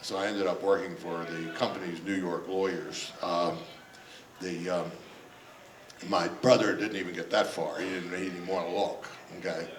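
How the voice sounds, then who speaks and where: In an American accent, a man with a very deep, low pitch speaks at a moderate pace with fairly even intonation, amid audible room echo and noticeable background noise. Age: 70s. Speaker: retired judge. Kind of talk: public talk. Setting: stage with audience. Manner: halting, many fillers.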